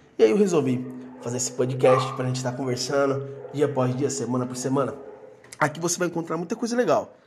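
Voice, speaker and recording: The man talks very fast, his pitch varying in an ordinary way, while noticeable background noise runs behind him. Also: medium pitch for a man. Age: 30s. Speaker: podcast host, former missionary. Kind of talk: casual solo podcast introduction. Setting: recording alone.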